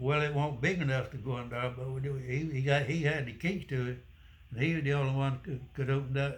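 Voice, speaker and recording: A man's somewhat breathy, fairly high voice, fairly quick in pace and fairly even in intonation. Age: 80s+. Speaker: war veteran. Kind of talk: interview answer.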